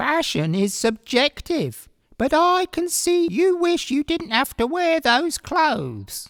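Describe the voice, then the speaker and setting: In a put-on character voice, the high-pitched speaker goes at a fairly slow pace on a very clean recording with a silent background. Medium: read story. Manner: calm, measured.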